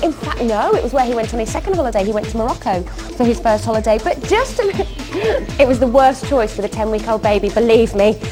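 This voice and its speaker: A very fast pace over music in the background. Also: woman. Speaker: shopping channel presenter. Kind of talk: home shopping TV sales pitch. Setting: studio. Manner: chatty, persuasive.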